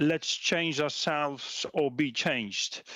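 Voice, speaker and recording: In a very clean recording with a silent background, a man with a Belgian accent speaks in a dry, close sound with no echo. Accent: Belgian accent, similar to German. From Belgium. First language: not English. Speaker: policy researcher. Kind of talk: conference presentation. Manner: halting, many fillers and repetitions.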